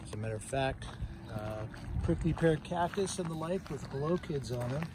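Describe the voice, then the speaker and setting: A man talks at a moderate pace in a dry sound with no echo. Noticeable background noise runs underneath. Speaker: nature guide on a walk. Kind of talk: casual explanation. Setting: outdoors on a walk. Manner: quiet. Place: open country.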